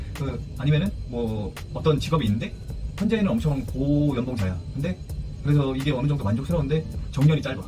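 Clear music plays in the background. A man speaks at a medium pitch and fairly quick pace with lively intonation. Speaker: ship's first officer on a chemical tanker. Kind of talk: casual advice talk to camera. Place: home room. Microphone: phone near.

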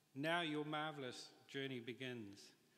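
A man with a New Zealand accent, fairly high in pitch, at a moderate pace, with a bright, sharp tone. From New Zealand, Auckland. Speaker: industrial designer receiving honorary degree. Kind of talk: graduation address. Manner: formal. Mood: grateful, formal, uplifting. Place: hall. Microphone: podium.

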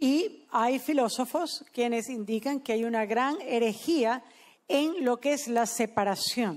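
The speaker talks at a very slow pace, with very even loudness and lively intonation. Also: woman, high pitch for a woman. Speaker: sermon interpreter. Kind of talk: sermon. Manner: consecutive interpreter, echoing each English sentence in Spanish; formal, measured, solemn. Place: studio. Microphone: handheld.

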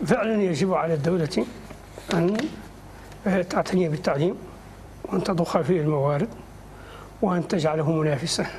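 A man talks at a fairly quick pace, broken by long, frequent pauses. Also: fairly high pitch for a man, ordinary pitch variation, slightly mellow tone.

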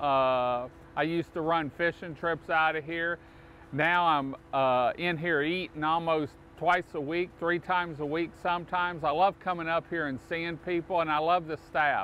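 With fairly even intonation and a high pitch for a man, he talks at a moderate pace over light background noise in a dry sound with no echo. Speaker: local show host promoting a restaurant. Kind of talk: promotional talk to camera. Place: waterside.

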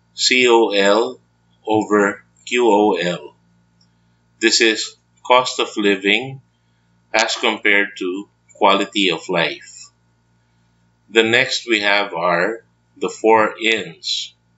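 A man talks at a very slow pace, leaving long, frequent pauses. His intonation stays fairly even. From Philippines, Baguio City, Indian family. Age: 40s. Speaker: trader and finance educator. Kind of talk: scripted educational monologue.

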